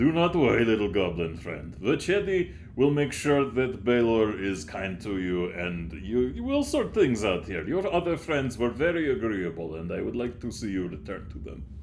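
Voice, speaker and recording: A booming, put-on character voice moves at a moderate pace over clear background noise. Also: man, medium pitch for a man. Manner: reassuring.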